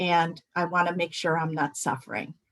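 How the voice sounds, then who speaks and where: An unremarkable speaking voice that moves at a fairly slow pace. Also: woman. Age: 60s. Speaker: healthcare professional speaking on end-of-life care. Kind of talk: webinar talk. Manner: conversational, many filler words.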